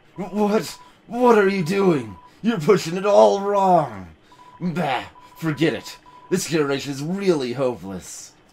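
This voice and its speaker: In a put-on character voice, the speaker sounds gravelly and moves at a fairly slow pace with very wide pitch swings. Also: man, high pitch for a man. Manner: irritable, scolding, dismissive.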